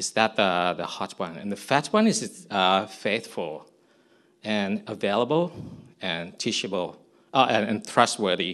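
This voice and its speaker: Against a quiet background, a man with a Thai accent speaks at a fairly slow pace. His pitch is fairly low, with ordinary variation. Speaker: missionary. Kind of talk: testimony. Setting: church service. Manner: halting.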